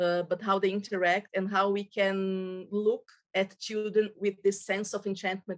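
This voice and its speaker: Recorded dry and close with no echo, a woman with a Portuguese accent speaks at a moderate pace and medium pitch. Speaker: childhood network representative. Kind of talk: presentation. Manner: halting.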